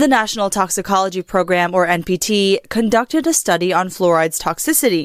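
A woman puts on a robotic character voice at medium pitch and a fairly quick pace. The recording is very clean with a silent background. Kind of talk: formal reading of news. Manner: robotic, AI-like narration.

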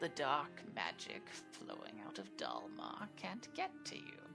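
In a put-on character voice, the speaker goes at a fairly slow pace while loud music plays in the background. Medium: actual play. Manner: shrewd, commanding.

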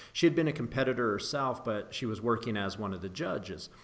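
A man speaks at medium pitch in a plain, everyday voice. His pitch varies in an ordinary way. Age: 40s. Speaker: podcast host, strength coach. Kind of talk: casual interview chat.

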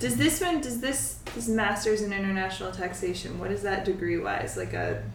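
Speaking at a moderate pace with hardly any pauses, a woman with an American accent is heard over noticeable background noise and audible room echo. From US East Coast, New England. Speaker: podcast co-host. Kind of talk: casual chat.

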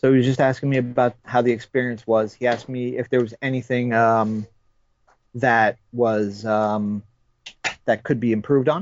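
The man has an unremarkable speaking voice at a medium pitch. He keeps a moderate pace with fairly even intonation. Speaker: toy collector. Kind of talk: casual chat. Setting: phone call.

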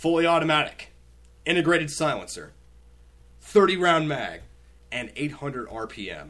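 His voice sits fairly high, with ordinary pitch variation, as the man talks at a fairly slow pace. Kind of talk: game show host, casual comedic banter with profanity. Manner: animated, playful, teasing.

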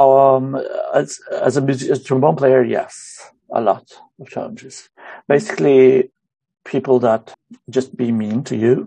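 A man speaks at a fairly slow pace in a dark, mellow tone. He leaves long, frequent pauses, and his loudness swings widely. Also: medium pitch for a man, ordinary pitch variation. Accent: Romanian. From Romania. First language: Romanian. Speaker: musician and music teacher. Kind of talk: interview. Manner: halting.

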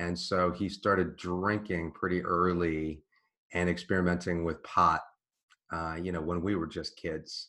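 With an American accent, a man speaks in a very deep, low voice that has a bright, sharp tone. His intonation is monotone and flat, and his pace is fairly slow. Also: quiet background. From US East Coast (Washington, D.C.). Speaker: author in recovery. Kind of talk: interview testimony.

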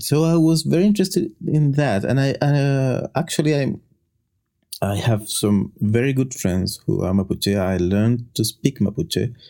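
In a Chilean accent, a man speaks at a moderate pace and medium pitch, his dark, mellow tone swinging very widely in pitch while his loudness stays very even. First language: Spanish. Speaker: linguist. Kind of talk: casual chat. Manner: halting.

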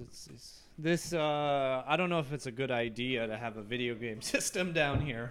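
A man's normal speaking voice with an American accent, medium in pitch with ordinary pitch variation, at a moderate pace with hardly any pauses and big swings in loudness. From Northern California (Davis). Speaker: lawyer. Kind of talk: casual chat. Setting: outdoors on a patio.

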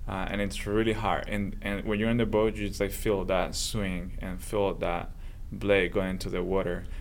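In a room with audible echo, a man with a Spanish accent speaks at a moderate pace in a fairly low pitch with monotone, flat intonation. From southern Spain. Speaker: engineering professor. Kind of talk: casual interview.

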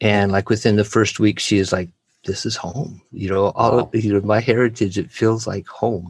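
An unremarkable speaking voice with an American accent comes at a moderate pace with fairly even intonation on a very clean recording with a silent background. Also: man, fairly low pitch for a man. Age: 50s. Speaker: missionary. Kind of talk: interview testimony.

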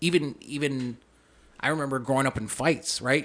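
Here a man speaks with an Upper Midwest accent at medium pitch. His intonation stays fairly even. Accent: Upper Midwest American. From Minnesota (Saint Paul). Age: 30s. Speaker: police officer. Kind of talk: casual interview. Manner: talkative.

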